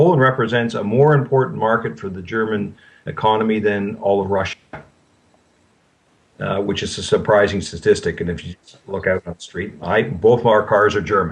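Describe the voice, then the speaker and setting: A man speaks in a normal speaking voice, fairly low in pitch with ordinary variation. His pace is moderate, and his loudness swings a lot. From Canada. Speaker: banking consultant. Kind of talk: interview answer.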